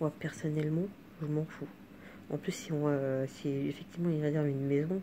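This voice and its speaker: A woman's very deep, low pitch, dark and mellow in tone, with monotone, flat intonation. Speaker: vlogger. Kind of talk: casual monologue vlog. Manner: halting, many hesitations; fast.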